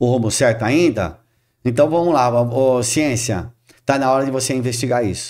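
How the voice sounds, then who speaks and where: Over a silent background in a very clean recording, a man with a plain, everyday voice speaks at a medium pitch and a moderate pace. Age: 60s. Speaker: spiritist speaker. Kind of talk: podcast interview.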